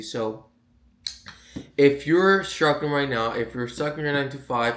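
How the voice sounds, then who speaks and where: A man with a Puerto Rican accent speaks at a moderate pace. Room echo is audible. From Puerto Rico. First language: Spanish. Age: 20s. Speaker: online sales coach. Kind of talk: casual vlog monologue. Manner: halting, repeats words.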